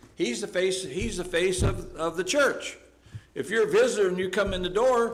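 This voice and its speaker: A man with an American accent speaks at a moderate pace in a high pitch with lively intonation. Background noise is noticeable, and room echo is audible. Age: 70s. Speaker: Bible class teacher. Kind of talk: Bible class discussion.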